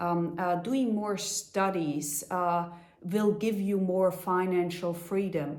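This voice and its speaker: A woman's very slow, fairly even-toned speech, with music in the background and audible room echo. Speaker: life coach. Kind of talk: motivational talk. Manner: halting, with fillers.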